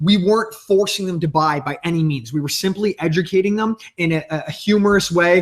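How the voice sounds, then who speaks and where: A man's high-pitched voice with ordinary pitch variation over noticeable background noise. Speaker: company founder. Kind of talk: interview about marketing. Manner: fast.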